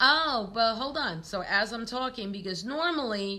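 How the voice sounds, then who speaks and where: A woman with a New York accent speaks in a bright, sharp tone, her intonation lively. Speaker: tarot reader. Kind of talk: live stream chat. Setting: live stream from a store. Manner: casual, filler-heavy.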